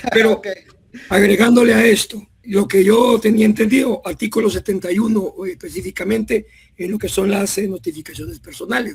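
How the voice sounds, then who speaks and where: Using a put-on character voice, a man talks fairly quickly in a hoarse, high tone with ordinary pitch variation. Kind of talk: formal, legal talk.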